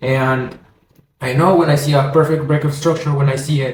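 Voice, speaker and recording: A man with a Spanish accent speaks at a moderate pace and fairly high pitch. His tone is energetic, and the room echo is audible. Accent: Spanish accent, non-native English. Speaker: forex trading educator. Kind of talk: tutorial. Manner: halting, many self-corrections; casual, energetic.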